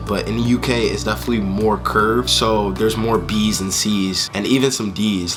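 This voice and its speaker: With an American accent, a man speaks in a relaxed tone and fairly low pitch over faint background music. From United States. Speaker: vlogger. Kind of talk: casual talk to camera. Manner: casual, relaxed. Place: home room. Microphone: phone near.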